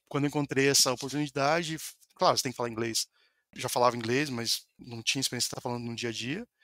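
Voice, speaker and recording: A man's bright, sharp tone at a very fast pace, with fairly even intonation, big swings in loudness, and a dry, close sound with no echo. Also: medium pitch for a man. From Brazil, Paraná. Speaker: software developer. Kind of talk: podcast interview.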